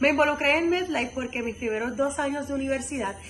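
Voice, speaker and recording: The voice shows ordinary pitch variation. Audible room echo and noticeable background noise are present. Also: woman. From Puerto Rico, Camuy. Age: 20s. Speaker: university student leader. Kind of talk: testimonial interview answers.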